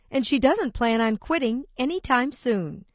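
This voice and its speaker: Against a quiet background, a woman uses a normal speaking voice at a moderate pace with lively intonation. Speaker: radio host. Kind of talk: broadcast segment intro.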